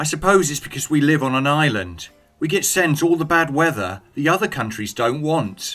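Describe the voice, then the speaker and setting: Against music in the background, a man with a British accent and fairly high pitch speaks at a moderate pace with lively intonation. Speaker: English teacher. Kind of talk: scripted dialogue for English learners.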